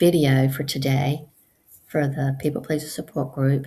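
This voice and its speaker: A woman talks at a fairly slow pace in a very deep, low pitch with monotone, flat intonation. Her tone is dark and mellow and somewhat breathy. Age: 60s. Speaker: support group host. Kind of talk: casual monologue. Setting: at home on computer. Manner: hesitant, many fillers.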